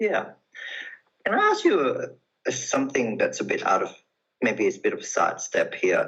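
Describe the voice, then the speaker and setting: Talking at a moderate pace with long, frequent pauses, a man speaks with a non-native accent. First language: not English. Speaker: interviewer, recruitment firm. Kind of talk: interview.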